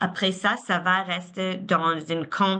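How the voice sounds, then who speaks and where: A woman with a non-native accent speaks at a very slow pace in a fairly low pitch. Her tone is bright and sharp against a quiet background. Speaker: philanthropy advisor. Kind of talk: webinar presentation. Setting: online webinar. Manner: halting, many repetitions.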